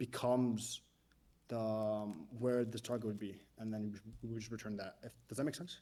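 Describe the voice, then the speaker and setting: Dark, mellow tone in a man's voice of medium pitch. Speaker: mock interview candidate. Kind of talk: technical mock interview. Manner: fast; halting, many fillers and restarts.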